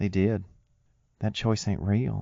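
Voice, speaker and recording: Soft-spoken and gentle in tone, a man with a Southern US accent talks fairly slowly at a fairly low pitch. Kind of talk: ASMR affirmation audio. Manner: soft-spoken, gentle.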